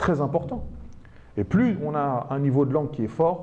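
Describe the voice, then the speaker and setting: Pitch varies in an ordinary way as the talking goes at a moderate speed. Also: man. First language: Arabic (speaking French). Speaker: teacher and speed-reading trainer, author. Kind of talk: public talk to an audience.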